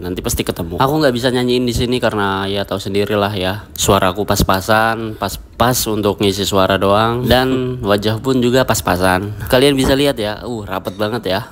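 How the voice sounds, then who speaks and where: A man at a fairly quick pace, hardly any pauses and fairly even intonation, with music in the background. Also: fairly low pitch for a man. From Indonesia, not from the Lake Toba area. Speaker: travel vlogger. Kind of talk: driving vlog commentary. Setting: in a car. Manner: casual, chatty.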